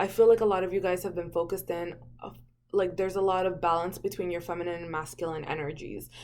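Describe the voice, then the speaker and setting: She speaks at a fairly quick pace. Her voice is fairly low for a woman. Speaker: tarot reader. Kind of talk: tarot reading monologue. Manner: fast; casual, filler-heavy.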